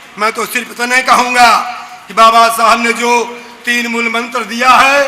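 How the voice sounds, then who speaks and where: Against noticeable background noise, a man uses a raised, projected voice at an extremely high pitch. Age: 60s. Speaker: activist. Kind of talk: public speech. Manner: impassioned, repetitive oratory.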